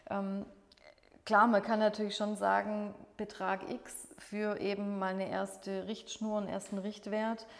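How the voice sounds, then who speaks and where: With monotone, flat intonation, a woman of medium pitch talks at a fairly slow pace. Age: 40s. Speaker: catering sales manager. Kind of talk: podcast interview.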